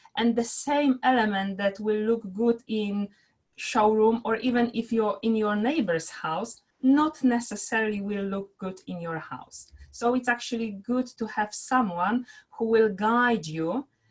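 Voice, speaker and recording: A woman's voice comes through somewhat breathy. Its pitch is fairly high. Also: ordinary pitch variation. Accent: Polish. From Poland. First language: Polish. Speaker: interior architect, business owner. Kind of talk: interview. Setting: live video stream.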